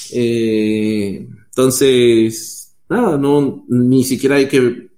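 Ordinary pitch variation marks a plain, everyday voice. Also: man. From Peru. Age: 30s. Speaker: software developer.

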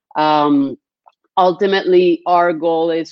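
A woman with a Spanish accent. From Colombia. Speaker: business plan company sales executive. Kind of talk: webinar presentation. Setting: live stream.

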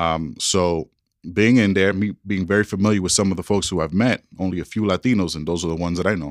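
A man's very deep, low voice with a New York accent at a very fast pace, dry and close with no echo, in a very clean recording with a silent background. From New York City. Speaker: school superintendent. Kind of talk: casual interview conversation. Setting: office.

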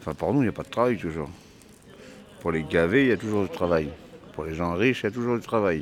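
A man with a very deep, low voice talks very fast with lively intonation, broken by long, frequent pauses. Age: 50s. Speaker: homeless man, former prisoner. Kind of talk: casual interview answers, documentary.

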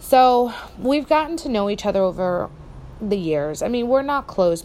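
Speaking in an American accent, a woman lets her pitch swing very widely. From New Jersey. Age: 30s. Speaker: podcaster. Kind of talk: casual personal monologue.

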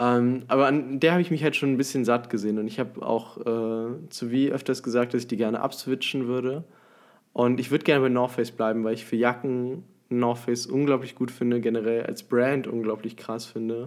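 A man with a plain, everyday voice speaks at a fairly quick pace, with medium pitch and fairly even intonation. The recording is very clean, with a silent background. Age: young. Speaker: podcast co-host. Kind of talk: casual chat.

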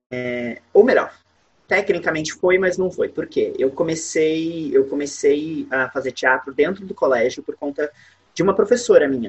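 The man talks at a fairly slow pace. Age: 20s. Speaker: musical theatre actor. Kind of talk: interview.

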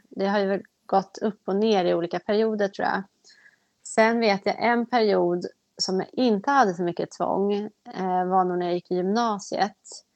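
In a dry, close recording with no echo, a woman of medium pitch speaks at a moderate pace with fairly even intonation. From Sweden, just north of Stockholm. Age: 30s. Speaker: person with OCD. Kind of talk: personal testimony interview.

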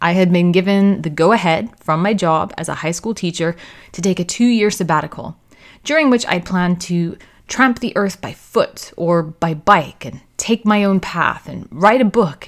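In a very clean recording with a silent background, a woman with an American accent and an unremarkable speaking voice talks at a moderate pace, her medium pitch moving with lively intonation. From United States. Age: 30s. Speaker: podcast host. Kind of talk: scripted narration.

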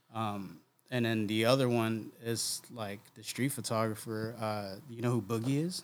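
A man with a medium-pitched voice speaks at a fairly slow pace in an ordinary speaking voice, his loudness swinging widely. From Oceanside, California (moved from New Jersey/New York around high school). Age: 40s. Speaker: photographer and creative director. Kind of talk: casual chat.

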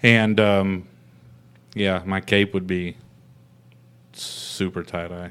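A man's very deep, low, monotone voice with flat intonation, very slow, with long, frequent pauses and big swings in loudness. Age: 30s. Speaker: podcast host. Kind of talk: casual chat.

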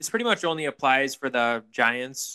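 A medium-pitched man with a bright, sharp tone, the sound dry and close with no echo. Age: 20s. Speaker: podcast co-host. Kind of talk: casual chat.

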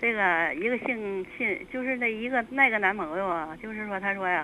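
A woman talks with very wide pitch swings. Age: 60s. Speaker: caller. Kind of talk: call-in advice. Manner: halting.

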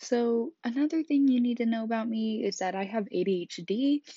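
A woman with a Midwestern US accent talks at a fairly slow pace with ordinary pitch variation. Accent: US Midwest. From Kansas. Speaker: podcast host. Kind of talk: casual monologue.

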